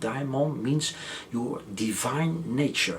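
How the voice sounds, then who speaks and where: Whispering at a very slow pace, a soft-spoken man keeps a gentle tone over noticeable background noise. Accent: non-native. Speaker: author and educator. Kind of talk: interview answer. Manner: very soft-spoken, just above a whisper; gentle, humble.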